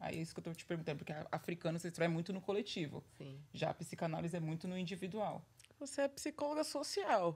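A woman talks at a very fast pace in a fairly low pitch, her intonation lively and her voice somewhat breathy. Her loudness swings widely. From Brazil. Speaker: podcast co-host. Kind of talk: casual chat. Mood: earnest, personal. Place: studio. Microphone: studio mic.

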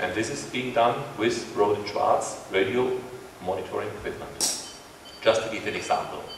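A man talks at a moderate pace. The room echo is audible, with light background noise. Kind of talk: press conference presentation. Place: hall.

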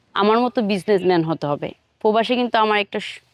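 A woman with a normal speaking voice talks at a medium pitch, with ordinary pitch variation. The sound is dry and close with no echo, over a quiet background. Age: 20s. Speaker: businesswoman seeking a husband. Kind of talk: street interview.

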